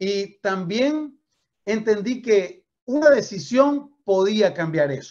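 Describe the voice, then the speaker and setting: The background is quiet. A man speaks in a high, animated voice. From Venezuela. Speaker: network marketing trainer. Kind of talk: motivational training talk. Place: home room. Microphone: video call.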